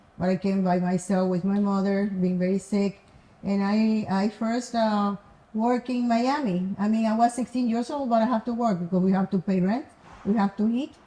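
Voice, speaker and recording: With a Cuban accent, a woman speaks at a moderate pace and medium pitch, her somewhat breathy voice carrying a dark, mellow tone, ordinary pitch variation and very even loudness. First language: Spanish. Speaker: entrepreneur, guest's mother. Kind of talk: testimony. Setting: offsite mansion. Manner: halting.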